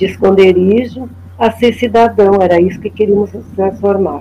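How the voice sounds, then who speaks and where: Speaking at a fairly slow pace, a woman with an unremarkable speaking voice shows ordinary pitch variation. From Porto Alegre, southern Brazil. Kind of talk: storytelling testimony.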